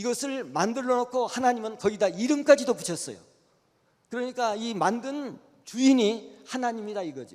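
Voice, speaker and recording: A man talks at a moderate pace with ordinary pitch variation. His pitch is extremely high. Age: 80s+. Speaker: retired church elder giving a lecture. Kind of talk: lecture. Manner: halting.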